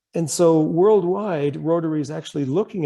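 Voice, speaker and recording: A man with a Canadian accent, fairly high pitch, dark, mellow tone, lively intonation and a fairly quick pace. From Canada. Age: 60s. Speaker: club speaker on climate action. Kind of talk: presentation. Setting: video call. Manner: casual, conversational.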